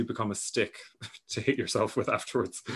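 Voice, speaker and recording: A man with an Irish accent speaks at a very fast pace. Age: 30s. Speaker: podcast host. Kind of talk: casual chat.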